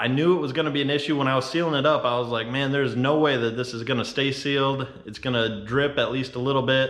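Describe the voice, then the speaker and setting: A man at medium pitch talking very fast with hardly any pauses, amid audible room echo and noticeable background noise. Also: fairly even intonation. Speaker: off-road and fabrication YouTuber. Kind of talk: product review tutorial. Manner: monotone; casual.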